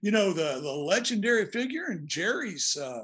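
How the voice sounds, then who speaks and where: With an American accent, a man talks at a moderate pace, his pitch swinging very widely. The background is quiet. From US Appalachia, Virginia. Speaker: author. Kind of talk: casual interview.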